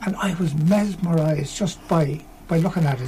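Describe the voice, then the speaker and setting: This man has a Dublin accent. His pitch is fairly high, with ordinary variation. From Ireland, Tallaght, Dublin. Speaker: folk musician. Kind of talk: casual chat. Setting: studio.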